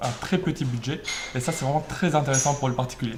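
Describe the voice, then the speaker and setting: Talking at a fairly quick pace, a man with a fairly high pitch and ordinary pitch variation is heard over noticeable background noise. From France, Normandy (Rouen area). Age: 20s. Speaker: author and law student. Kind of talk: interview.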